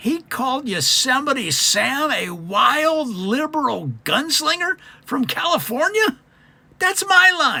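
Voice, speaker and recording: Someone speaks in a put-on character voice with a high pitch. The pace is fairly slow. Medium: solo performance. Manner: smug, breezy.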